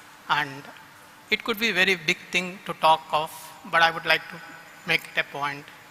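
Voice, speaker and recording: A high-voiced man speaks at a moderate pace, leaving long, frequent pauses, with fairly even intonation. His loudness swings widely, and there is noticeable background noise. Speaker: company executive. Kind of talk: vote of thanks speech.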